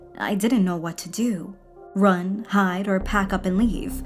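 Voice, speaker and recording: Music behind a woman speaking fairly slowly. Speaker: horror story narrator. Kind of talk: horror story narration.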